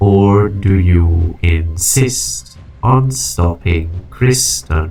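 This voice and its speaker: Faint music plays in the background as a put-on character voice speaks at a very slow pace. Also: man. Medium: dub.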